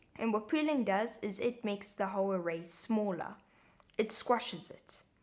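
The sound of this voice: A woman speaks at a medium pitch in a South African accent.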